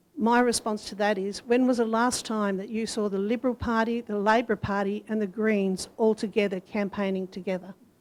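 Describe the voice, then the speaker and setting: A woman speaks with an Australian accent at a fairly high pitch. Her delivery is fairly quick, with monotone, flat intonation. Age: 60s. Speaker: council candidate. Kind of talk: candidate forum answer. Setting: community centre forum with audience.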